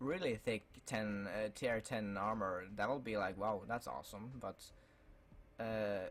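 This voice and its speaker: At a fairly slow pace, a man speaks with a fairly low pitch and ordinary pitch variation. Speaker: gaming YouTuber. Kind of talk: casual talk to camera.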